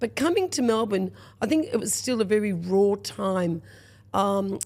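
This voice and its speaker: This is a very clean recording against a silent background. The speaker is a woman with an Australian accent. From rural Victoria, Australia. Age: 60s. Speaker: restaurateur. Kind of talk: podcast interview. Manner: animated.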